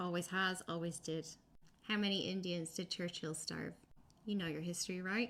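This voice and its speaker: A woman with an Irish accent speaks at a moderate pace in a fairly low pitch, with fairly even intonation. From Ireland. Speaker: political commentator. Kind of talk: video commentary. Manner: impassioned.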